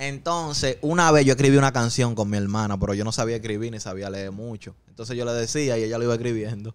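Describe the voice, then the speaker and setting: A man talks at a very fast pace with hardly any pauses, big swings in loudness and ordinary pitch variation. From Dominican Republic, Santo Domingo Oeste. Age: 20s. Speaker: rapper. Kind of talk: casual chat. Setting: studio. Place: studio. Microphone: studio mic.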